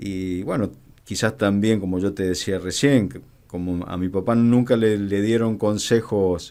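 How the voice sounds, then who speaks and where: A man's fairly low-pitched voice, fairly slow in pace, with fairly even intonation. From Argentina, Mendoza. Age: 50s. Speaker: border police commander. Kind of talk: radio interview. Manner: halting, many fillers.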